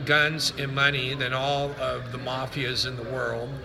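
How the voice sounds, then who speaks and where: Against noticeable background noise and audible room echo, a man with a fairly high pitch talks at a very slow pace in a monotone, flat intonation. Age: 60s. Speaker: online preacher / political commentator. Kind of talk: monologue video / political rant. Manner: casual, with frequent fillers.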